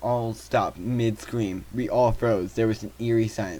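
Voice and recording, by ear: Someone reads aloud in a natural voice. Their intonation stays fairly even.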